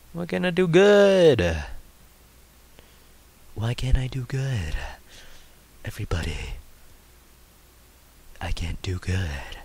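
A man speaks loudly at a very slow pace, with long, frequent pauses. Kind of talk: casual let's play commentary. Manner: loud, pitch all over the place.

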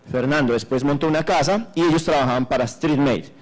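A man's fairly high voice at a fairly quick pace, ordinary pitch variation and faint music in the background. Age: 50s. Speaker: conference speaker. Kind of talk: conference talk. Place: hall. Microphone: handheld.

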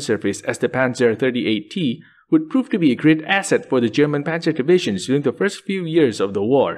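A man talks at a fairly quick pace with a fairly high pitch and vocal fry. His pitch swings very widely over a quiet background. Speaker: history video narrator. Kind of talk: scripted narration.

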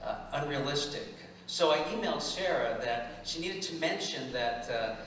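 A man speaks at a moderate pace with ordinary pitch variation. Audible room echo and light background noise are present. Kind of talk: personal testimony to congregation. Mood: earnest, vulnerable. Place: church.

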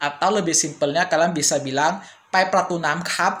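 Speaking at a fairly slow pace, a man uses a high pitch and fairly even intonation. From Indonesia. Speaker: language teacher YouTuber; language teacher vlogger. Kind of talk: tutorial. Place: home room.

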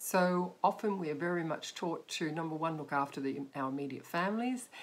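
With an Australian accent, a woman talks using ordinary pitch variation. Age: 50s. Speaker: life coach and photographer; life coach. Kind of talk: direct-to-camera talk. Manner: hesitant, many fillers. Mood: warm, encouraging. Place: home room. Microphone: webcam.

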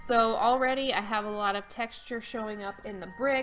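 The speech moves at a fairly slow pace over faint music in the background. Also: woman. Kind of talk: tutorial. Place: home room.

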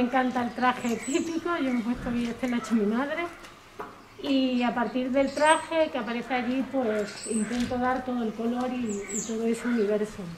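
Over noticeable background noise, a woman speaks in a high pitch. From Garrovillas, Cáceres, Extremadura, Spain; Extremadura, Spain. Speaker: local artist. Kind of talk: speech at public event; informal public presentation. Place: street. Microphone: camera far.

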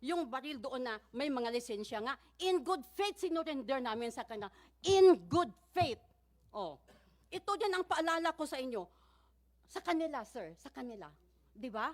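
A woman with a high pitch speaks at a moderate pace, with very wide pitch swings and big swings in loudness. Her pauses are long and frequent. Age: 60s. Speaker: church community member testifying at hearing. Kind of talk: testimony. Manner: halting.

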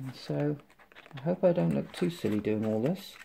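A man's dark, mellow, somewhat breathy voice at a fairly slow pace, with very wide pitch swings and light background noise. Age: 50s. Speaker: tech reviewer. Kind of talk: product unboxing review. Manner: casual, halting with fillers. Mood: enthusiastic, chatty. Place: home room. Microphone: phone near.

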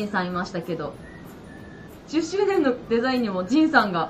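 Light background noise runs under a woman who talks at a fairly quick pace. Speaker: shop staff host. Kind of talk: livestream announcement.

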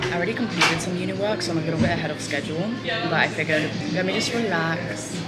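Over loud background music, a woman speaks at a fairly quick pace. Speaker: student vlogger. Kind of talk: casual vlog chat. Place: cafe. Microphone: phone near.

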